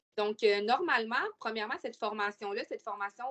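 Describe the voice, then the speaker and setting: A woman with a Quebec accent, a fairly high pitch and ordinary pitch variation. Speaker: webinar presenter, youth intervention worker. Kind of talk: webinar presentation. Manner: hesitant, many fillers.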